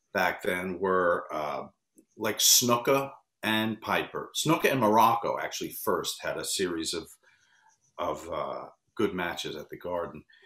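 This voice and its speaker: In an American accent, a man speaks at a fairly slow pace. There's audible room echo against a quiet background. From US Northeast (New York area). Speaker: wrestling interview producer. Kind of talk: interview. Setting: video call. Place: home room.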